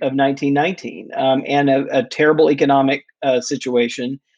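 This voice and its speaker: This man has an ordinary speaking voice, fairly high in pitch and at a moderate pace. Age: 50s. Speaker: researcher and author. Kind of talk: interview.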